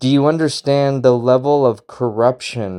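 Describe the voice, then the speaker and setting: A man speaks at a medium pitch in a dark, mellow tone. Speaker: political podcast host. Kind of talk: political commentary rant. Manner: loud; animated.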